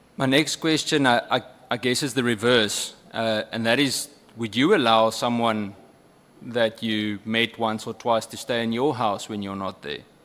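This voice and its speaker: In a South African accent, a man speaks at a medium pitch and fairly slow pace with ordinary pitch variation. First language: Afrikaans. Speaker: member of parliament. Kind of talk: parliamentary questioning. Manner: halting.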